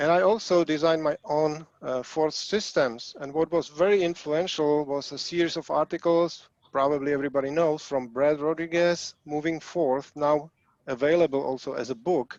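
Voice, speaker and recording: With a Czech accent, a man speaks at a moderate pace in a fairly high pitch and fairly even intonation, the sound dry and close with no echo. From Czechoslovakia. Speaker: hobbyist programmer. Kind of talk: presentation. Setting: video call.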